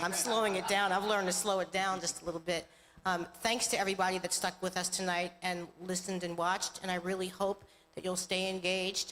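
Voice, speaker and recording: A woman speaks in a monotone with an American accent, her intonation flat. Her pitch sits in the middle range, and her pace is fairly quick. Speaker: state senator. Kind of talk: panel discussion. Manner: fast.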